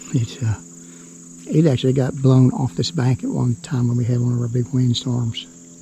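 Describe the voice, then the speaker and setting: A man speaks at a moderate pace, his pitch in the middle range. His pitch moves in an ordinary way. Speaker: homesteader vlogger. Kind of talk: casual vlog narration. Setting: outdoors. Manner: whispering at times.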